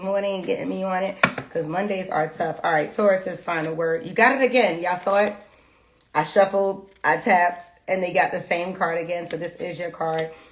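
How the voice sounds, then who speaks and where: With noticeable background noise behind her, the woman's pitch rises and falls in an ordinary way. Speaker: tarot reader. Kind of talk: tarot reading livestream. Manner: fast.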